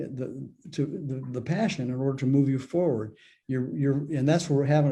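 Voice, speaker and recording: A man talks in a dark, mellow tone at a medium pitch. His pace is fairly quick. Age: 70s. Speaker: spiritual author and mentor. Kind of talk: interview. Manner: halting, frequent repetitions.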